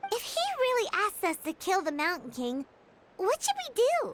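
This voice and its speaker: An extremely high, put-on character voice. The pitch leaps across a very wide range. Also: moderate pace. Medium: video game. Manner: excitable, earnest.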